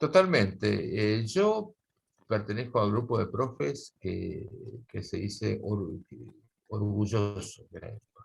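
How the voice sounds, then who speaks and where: Speaking very slowly, a man with a fairly low pitch and vocal fry shows ordinary pitch variation and big swings in loudness. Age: 60s. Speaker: guitar teacher. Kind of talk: casual interview conversation. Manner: halting, many fillers.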